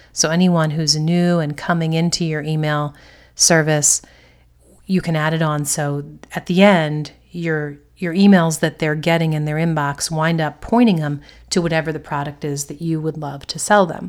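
Monotone, flat intonation at a moderate pace on a very clean recording with a silent background. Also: woman, very deep, low pitch for a woman. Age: 50s. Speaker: podcast host on online content creation. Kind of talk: solo podcast talk.

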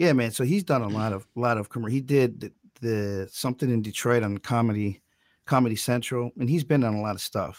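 An unremarkable speaking voice with an American accent at a fairly quick pace, ordinary pitch variation, and a dry, close sound with no echo on a very clean recording with a silent background. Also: man, medium pitch for a man. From US Midwest, Monroe, Michigan. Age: 40s. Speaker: record producer. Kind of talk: casual chat.

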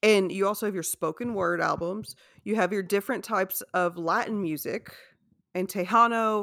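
On a very clean recording with a silent background, an ordinary speaking voice proceeds at a moderate pace with fairly even intonation. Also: woman, medium pitch for a woman. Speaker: writer and music fan. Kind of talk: casual chat.

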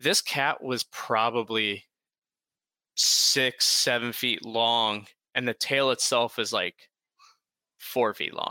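With an American accent and a bright, sharp tone, a man talks at a very slow pace and medium pitch, his intonation fairly even, his long, frequent pauses caught in a dry, close sound with no echo. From Ohio (Dayton). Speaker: podcast host, guest. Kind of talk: casual chat. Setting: video call.

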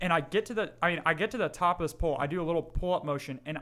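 A high-pitched man talks with lively intonation against noticeable background noise. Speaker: podcast co-host. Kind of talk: casual chat.

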